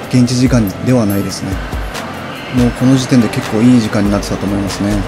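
Music behind a man talking at a fairly brisk clip. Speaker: travel vlogger. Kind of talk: casual vlog chat. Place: street. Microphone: phone near.

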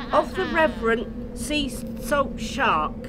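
Loud background noise sits under a put-on character voice that sounds female, high in pitch and at a fairly slow pace. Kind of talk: amateur Shakespeare stage acting. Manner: solemn, incantatory.

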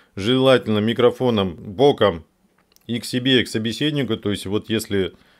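A man speaks with ordinary pitch variation and a moderate pace while the background stays quiet. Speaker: video blogger, civic activist; video blogger. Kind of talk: tutorial. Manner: halting, many false starts and fillers. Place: home room. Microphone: studio mic.

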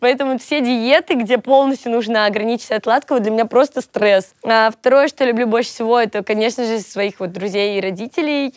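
Quick-paced and barely pausing, a woman speaks at a high pitch with ordinary pitch variation. The sound is dry with no echo over a quiet background. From Russia, Volgograd; Russia. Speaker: blogger and singer; blogger. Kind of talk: interview monologue. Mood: relaxed, cheerful. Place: studio. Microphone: lapel.

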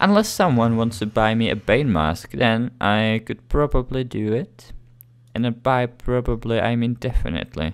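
In a non-native accent, a man talks at a fairly slow pace. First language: not English. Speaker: gaming video creator. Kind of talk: gameplay commentary. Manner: halting.

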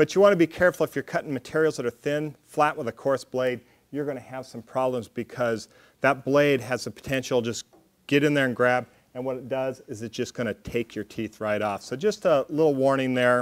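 A man talks at a fairly quick pace with ordinary pitch variation. The background is quiet. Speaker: metalworking instructor. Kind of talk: tutorial. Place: workshop.

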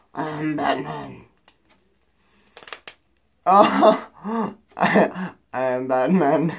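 A raspy, put-on character voice at a middle pitch. The tone is dramatic. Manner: dramatic, brooding, comic.

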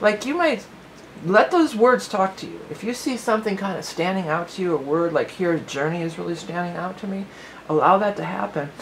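A woman rattles along at a very fast pace, with light background noise behind her. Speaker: tarot reader. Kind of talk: tarot reading commentary. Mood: warm, upbeat.

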